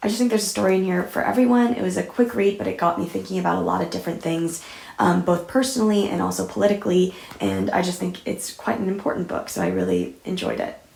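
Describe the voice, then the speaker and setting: There is noticeable noise in the background. Her delivery, as a woman, is very fast. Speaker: book reviewer. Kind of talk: casual talk to camera.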